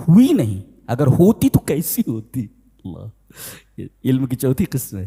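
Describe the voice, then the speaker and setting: A man's somewhat breathy voice has a medium pitch and a dark, mellow tone. Pitch swings very widely and loudness shifts greatly, with a dry, close sound and no echo. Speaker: Islamic scholar giving a Quran commentary lecture. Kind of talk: religious sermon, tafseer lecture.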